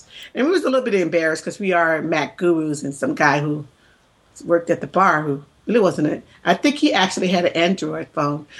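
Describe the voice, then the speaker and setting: A woman with an American accent talks at a very fast pace. Her pitch is fairly low for a woman, and her intonation is lively. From US South. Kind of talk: casual chat.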